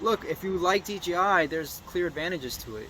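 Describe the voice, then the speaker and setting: A man talks at a fairly quick pace in a high pitch, with ordinary pitch variation. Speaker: FPV drone pilot and video creator. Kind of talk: casual flight commentary to camera. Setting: outdoors on balcony, drizzling. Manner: fast, not super cohesive.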